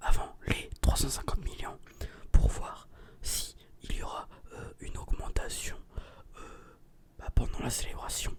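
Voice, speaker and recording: A man whispers at a very slow pace. There is noticeable background noise. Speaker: ASMR and gaming video creator. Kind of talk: casual talk to camera.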